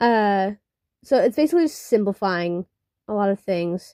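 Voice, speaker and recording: At a moderate pace, a woman is talking. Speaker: digital artist. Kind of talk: casual draw-with-me commentary. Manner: halting, many fillers; unscripted, casual.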